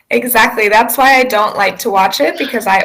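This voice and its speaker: A woman speaks with lively intonation. Her voice is fairly high-pitched. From US South. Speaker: online English tutor. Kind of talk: casual chat.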